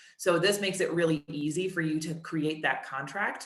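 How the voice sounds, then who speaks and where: Audible room echo surrounds this woman's voice. Her pitch is fairly low and varies in an ordinary way. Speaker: marketing director presenting software. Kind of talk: product demo webinar. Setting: webinar. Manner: fast.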